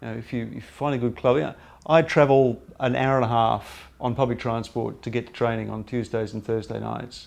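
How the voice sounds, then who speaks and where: This man has an Australian accent and a medium pitch, speaking at a fairly quick pace with hardly any pauses. His intonation is fairly even, but his loudness swings widely. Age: 50s. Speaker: cricket writer. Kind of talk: interview.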